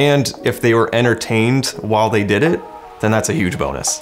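At a fairly quick pace, a man with a fairly low pitch uses an ordinary speaking voice. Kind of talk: interview answer. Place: home room.

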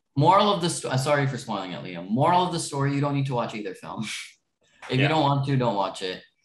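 In a room with audible echo, a man talks at a very fast pace, his somewhat breathy voice fairly high in pitch and swinging very widely up and down. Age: young. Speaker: podcast co-host, movie fan; podcast co-host. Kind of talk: casual chat. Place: home room. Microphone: video call.

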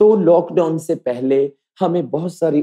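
The sound is dry and close with no echo as a man speaks in a dark, mellow tone with ordinary pitch variation. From Punjab, India. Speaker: folk dancer and teacher. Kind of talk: interview.

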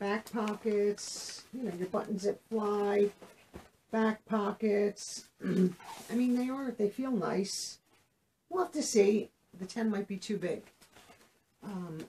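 A woman's very slow delivery with long, frequent pauses and ordinary pitch variation, over light background noise. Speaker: clothing haul vlogger. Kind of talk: casual vlog chat. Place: home room.

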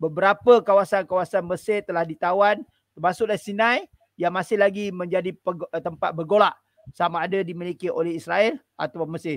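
A man at a high pitch and moderate pace, with ordinary pitch variation, in a dry recording with no echo and a quiet background. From Malaysia. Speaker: lecturer and charity volunteer; guest. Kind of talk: travel storytelling in interview. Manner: hesitant, with many fillers. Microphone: headset.

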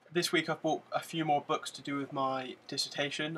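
A man speaks with a British accent at a fairly quick pace. His intonation is monotone and flat. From UK. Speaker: vlogger. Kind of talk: casual vlog monologue to camera. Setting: in front of a camera, at home. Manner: monotone, mundane delivery; hesitant, many fillers. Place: home room. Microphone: webcam.

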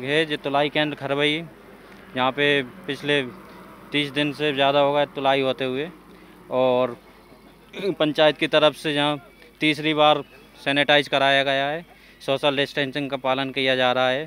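Talking at a fairly slow pace, a man holds a monotone, flat intonation with long, frequent pauses, and the sound is dry with no echo. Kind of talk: interview answer. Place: market. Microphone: handheld.

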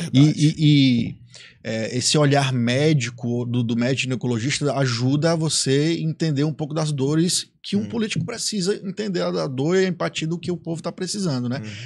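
A man talking at a fairly quick pace with hardly any pauses, over a quiet background. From Ceará, Brazil. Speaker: podcast host. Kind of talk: casual interview. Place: studio. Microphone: studio mic.

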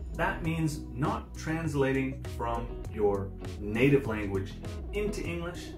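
Over clear background music, the speaker goes at a very slow pace with very wide pitch swings. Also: man. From Canada. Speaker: online English tutor. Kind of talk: promotional self-introduction to camera. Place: home room.

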